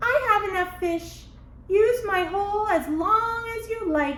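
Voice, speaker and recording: A squeaky put-on character voice at extremely high pitch moves at a fairly slow pace. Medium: read story. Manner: sly, playful.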